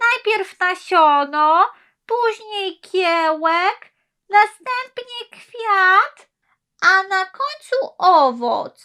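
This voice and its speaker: Put on as a character, the voice is squeaky and extremely high-pitched, and it moves at a very slow pace. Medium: read story. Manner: thoughtful, curious.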